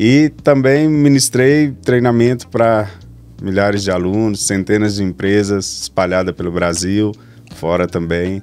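A man with a Minas Gerais accent, fairly low in pitch, at a fairly slow pace with lively intonation. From Brazil, Minas Gerais. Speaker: machining consultant and trainer; trainer. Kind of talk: podcast interview. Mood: friendly, relaxed. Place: studio. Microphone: studio mic.

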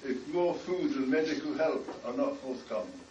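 Slowish and with very wide pitch swings, a man speaks at a high pitch with a British accent, with audible room echo and light background noise. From United Kingdom. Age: 80s+. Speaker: rabbi, former army chaplain. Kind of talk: personal recollection. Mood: solemn, grave. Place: hall. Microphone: camera far.

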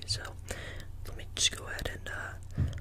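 Fairly slow whispering from a man, with noticeable background noise behind it. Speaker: ASMR creator. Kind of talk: ASMR role-play, face massage. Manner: soft, slow, soothing.

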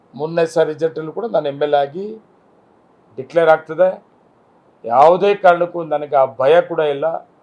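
A man with a plain, everyday voice, fairly high pitch and fairly even intonation. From Kolar district, Karnataka (Malur). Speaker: politician, sitting MLA. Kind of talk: press interview statement.

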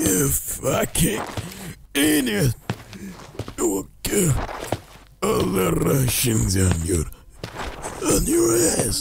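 A raspy man's voice at medium pitch, very slow, with long, frequent pauses over clear background noise. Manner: menacing, contemptuous.

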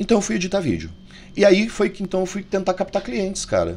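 The tone is animated and the pace fairly quick. Light background noise sits underneath. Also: man. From Brazil. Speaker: YouTuber, tarot reader and video editor; YouTuber, tarot reader. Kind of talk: casual vlog monologue. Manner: informal, animated. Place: home room. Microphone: studio mic.

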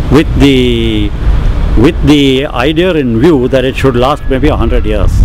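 At a fairly slow pace, a man speaks with a dry sound with no echo and noticeable background noise. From Bangalore, India. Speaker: long-term local resident. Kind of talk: oral history interview answer. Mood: reminiscing, relaxed. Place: street.

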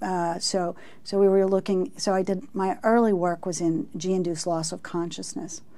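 With an American accent, the voice has a dark, mellow tone, a moderate pace and ordinary pitch variation. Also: woman. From Texas. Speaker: research professor. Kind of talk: interview. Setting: studio. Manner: halting. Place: studio. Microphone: lapel.

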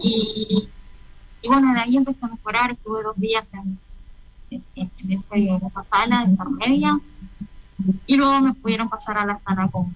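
Somewhat breathy and fairly high in pitch, a woman speaks at a moderate pace with ordinary pitch variation and long, frequent pauses, in a dry recording with no echo. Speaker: covid survivor. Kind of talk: testimony. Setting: radio interview. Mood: emotional, reflective recounting.

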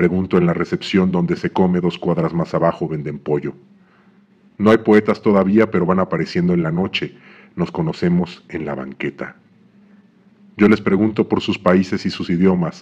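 A man's very deep, low voice in a calm, deadpan tone, fairly even intonation, and a moderate pace. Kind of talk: literary poetry reading, read aloud from a book. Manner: measured, calm, deadpan delivery with pauses.

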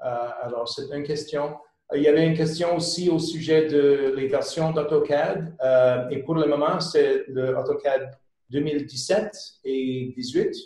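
A man speaks very slowly in a somewhat breathy voice, fairly high in pitch with a dark, mellow tone and fairly even intonation. Audible room echo rings over a quiet background. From Quebec. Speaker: consulting company founder; webinar presenter. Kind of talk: webinar presentation. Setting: online webinar. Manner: halting. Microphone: webcam.

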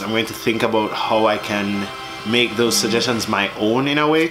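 Music plays in the background as a man talks with a Jamaican accent. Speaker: vlogger. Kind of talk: casual talk to camera.

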